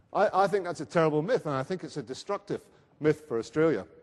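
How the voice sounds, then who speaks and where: Here a man speaks with a Scottish accent. His pace is very fast and his intonation lively. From Scotland. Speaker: research centre speaker at a conference. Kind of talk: conference presentation. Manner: hesitant, with fillers.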